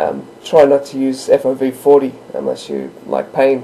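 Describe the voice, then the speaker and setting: Someone speaks with an Australian accent over noticeable background noise. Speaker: gamer. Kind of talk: gameplay tutorial narration. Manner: casual, hesitant.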